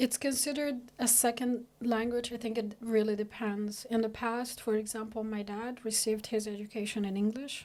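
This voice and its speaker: With an Arabic accent, a woman speaks at a moderate pace in a fairly high voice with monotone, flat intonation. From eastern Sudan. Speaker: researcher, immigrant. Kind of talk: podcast interview. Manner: halting, many fillers.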